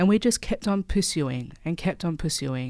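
A woman with an Australian accent is heard in a very clean recording with a silent background. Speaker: activist. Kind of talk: interview.

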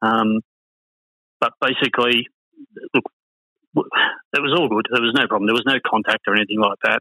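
A man talks at a moderate pace with long, frequent pauses. His loudness stays very even. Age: 50s. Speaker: motorsport team manager. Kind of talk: interview.

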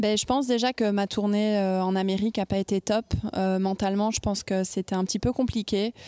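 Against a quiet background, a woman with a medium-pitched, dark, mellow voice speaks fairly quickly in a flat monotone at very even loudness, the sound dry and close with no echo. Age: 20s. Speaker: professional tennis player. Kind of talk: interview. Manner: halting.

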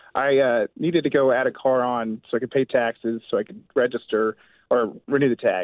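In a plain, everyday voice, a man speaks with an American accent at a moderate pace, his medium pitch showing ordinary variation and his loudness swinging widely. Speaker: caller. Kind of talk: call-in to radio show. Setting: phone call.

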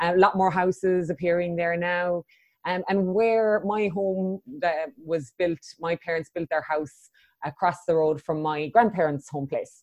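A woman with an Irish accent, fairly low pitch, ordinary pitch variation and a fairly slow pace. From Ireland, Cork. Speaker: coach and facilitator. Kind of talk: interview.

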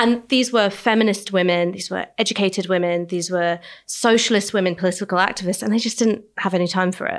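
Her pitch medium and her pace fairly quick, a woman speaks with hardly any pauses. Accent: London. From London. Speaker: podcast host. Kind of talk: interview conversation. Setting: studio, small hot room.

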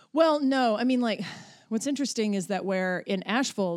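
In an unremarkable speaking voice, a woman with an American accent talks at a moderate pace. Her intonation is lively, and the recording is very clean with a silent background. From western North Carolina mountains. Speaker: comedy director. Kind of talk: casual chat.

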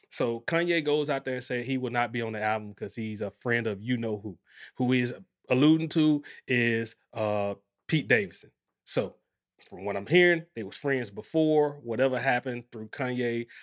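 Ordinary pitch variation and a moderate pace mark a normal speaking voice. The recording is very clean, and the background is silent. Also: man, medium pitch for a man. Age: 40s. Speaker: podcast host. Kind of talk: casual chat.

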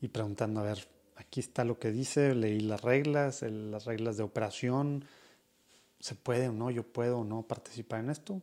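With a dark, mellow tone, a man talks at a fairly slow pace and ordinary pitch variation. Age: 30s. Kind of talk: casual monologue.

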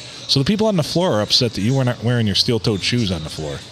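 A man talks at a very fast pace with very wide pitch swings around a medium pitch. Noticeable background noise runs underneath. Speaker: podcast co-host. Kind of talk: casual chat.

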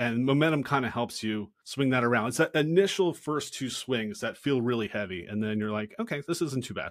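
Speaking at a medium pitch and a fairly quick pace, a man uses lively intonation with hardly any pauses on a very clean recording with a silent background. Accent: American. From Philadelphia, US. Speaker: former sports mascot performer. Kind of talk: casual interview chat.

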